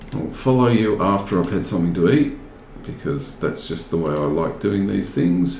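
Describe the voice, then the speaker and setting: Someone with an Australian accent talks at a moderate pace. There's noticeable background noise and audible room echo. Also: man, very deep, low pitch for a man, lively intonation. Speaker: gaming video host. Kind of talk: casual gameplay commentary. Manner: animated.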